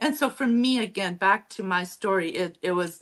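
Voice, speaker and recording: Speaking in a northern German accent, a woman talks at a fairly slow pace. Her intonation is lively. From Mennonite community in Mexico. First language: Low German. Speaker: author and historian. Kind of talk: interview.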